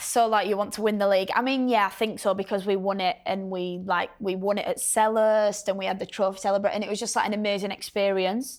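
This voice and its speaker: A woman's very fast delivery with hardly any pauses, medium pitch, fairly even intonation and a strong Yorkshire accent. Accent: Bradford, Yorkshire; strong. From northern England, Bradford. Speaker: professional footballer. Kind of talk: casual chat. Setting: studio.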